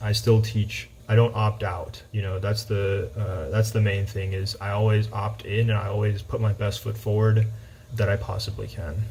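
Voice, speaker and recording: Speaking at a moderate pace, a man with a fairly low pitch delivers his words in a monotone, flat intonation. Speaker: high school math teacher. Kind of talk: personal talk to students. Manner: halting with fillers.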